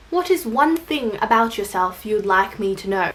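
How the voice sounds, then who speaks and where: Lively intonation marks this woman's fairly high pitch and Australian accent. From Australia, Filipino family. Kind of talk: casual vlog, answering tag questions.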